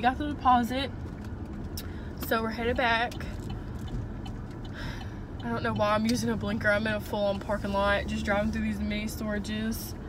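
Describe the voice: A woman with a fairly high pitch speaks at a moderate pace with little pitch movement and long, frequent pauses over clear background noise.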